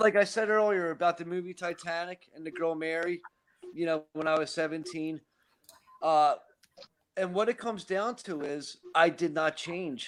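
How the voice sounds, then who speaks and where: A man speaks with a Philadelphia accent. His pitch is high. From Philadelphia, US Northeast. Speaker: recovering alcoholic. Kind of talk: casual chat.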